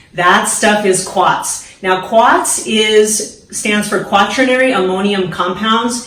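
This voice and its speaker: Here a woman talks in an upbeat tone at medium pitch, with an American accent. Noticeable background noise runs through the clip. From San Diego, California. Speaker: hairstylist. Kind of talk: casual talk to camera, DIY tutorial. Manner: upbeat, friendly, coach-like.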